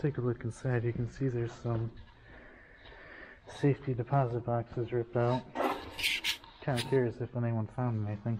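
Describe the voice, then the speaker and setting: With noticeable background noise behind him, a man speaks in a monotone, flat intonation with long, frequent pauses. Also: moderate pace. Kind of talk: casual vlog narration. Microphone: phone near.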